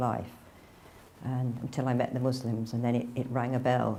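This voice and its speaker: With an English accent, a woman speaks in a very deep, low pitch and a dark, mellow tone. Her intonation is monotone and flat, and her pace is moderate. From northern England (near Manchester). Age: 60s. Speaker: religious convert. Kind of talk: testimony. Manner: casual, hesitant.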